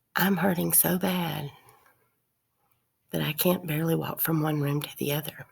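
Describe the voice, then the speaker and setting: Her voice very deep and low with vocal fry, a woman speaks in a monotone, flat way with long, frequent pauses. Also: moderate pace. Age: 60s. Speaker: video blogger. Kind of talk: casual monologue to camera.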